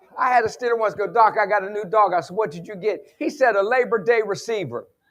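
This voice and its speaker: Talking at a very fast pace with an Appalachian accent, a man uses a high pitch, ordinary pitch variation, an animated tone and big swings in loudness. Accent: Appalachian Southern US. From West Virginia. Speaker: sports psychologist and motivational speaker. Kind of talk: conference keynote with humor. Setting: stage with audience.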